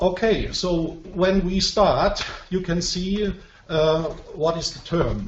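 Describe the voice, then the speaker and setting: A man's high, monotone, flat voice with a non-native accent at a very slow pace, amid noticeable background noise and audible room echo. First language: not English. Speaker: professor presenting research. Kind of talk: webinar presentation. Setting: online web conference. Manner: slow, simple sentences; hesitant, many fillers.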